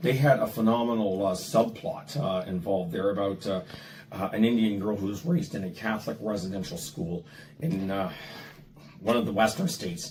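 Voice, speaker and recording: A man speaks in a fairly low pitch with very wide pitch swings. Noticeable background noise can be heard. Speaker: legal professional. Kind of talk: interview discussion. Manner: halting, many fillers.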